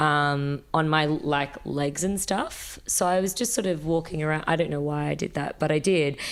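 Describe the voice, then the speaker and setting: A woman with an Australian accent speaks in a very deep, low pitch with ordinary pitch variation. Her pace is moderate, with hardly any pauses. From Sydney, Australia. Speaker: fashion designer and musician. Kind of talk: casual interview chat. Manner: hesitant, many fillers.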